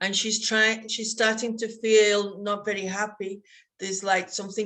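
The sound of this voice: The speaker reads in an unforced voice.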